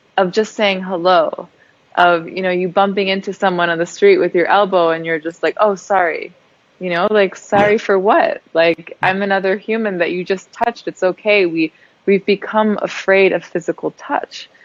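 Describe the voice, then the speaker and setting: A woman with an American accent, an ordinary speaking voice, medium pitch, fairly even intonation and a moderate pace. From Germany. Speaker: entrepreneur, movement founder. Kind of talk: interview.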